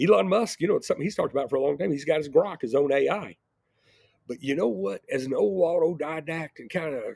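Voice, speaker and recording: A man talks in a normal speaking voice with a fairly high pitch. The sound is dry and close with no echo. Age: 60s. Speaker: entrepreneur and video blogger. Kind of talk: casual monologue. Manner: rambling, repeats words.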